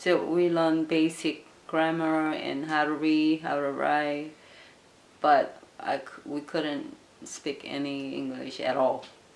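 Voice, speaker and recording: A woman with a Korean accent at a very slow pace. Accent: Korean accent, noticeable on the phone. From South Korea. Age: 50s. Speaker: Korean immigrant interviewee. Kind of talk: interview. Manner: halting, many fillers.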